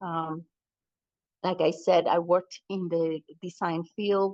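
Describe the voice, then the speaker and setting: A woman's fairly low-pitched voice with a non-native accent, fairly slow and monotone, dry and close with no echo. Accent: foreign. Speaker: college president. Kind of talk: public meeting remarks. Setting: hybrid community meeting, in person and Zoom. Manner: halting, with fillers.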